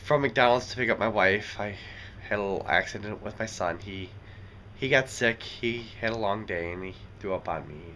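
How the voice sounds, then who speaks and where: A man's fairly low voice in a bright, sharp tone, with light background noise. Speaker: vlogger. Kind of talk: casual vlog chat. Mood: relaxed, content. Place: home room. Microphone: phone near.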